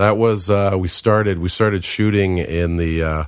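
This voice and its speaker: His pace is moderate. The man's pitch variation is ordinary. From US West Coast, San Francisco Bay Area. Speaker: film and TV editor. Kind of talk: interview. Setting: home studio.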